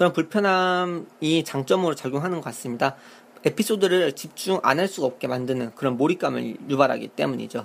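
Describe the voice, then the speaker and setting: A man with a fairly high pitch and lively intonation at a fairly quick pace, in a very clean recording with a silent background. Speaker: game review podcaster. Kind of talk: monologue review. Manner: speeds up when excited; hesitant, many fillers.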